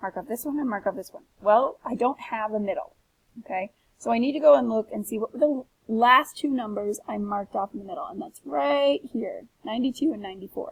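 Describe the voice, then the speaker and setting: A woman speaks in a somewhat breathy voice. Her pitch swings very widely. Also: dry, close sound with no echo. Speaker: teacher. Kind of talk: tutorial. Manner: fast.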